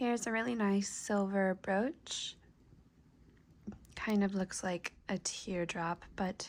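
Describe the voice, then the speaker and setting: Soft-spoken and relaxed in tone, the speaker talks at a very slow pace. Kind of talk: soft-spoken show and tell to camera. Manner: soft-spoken, relaxed.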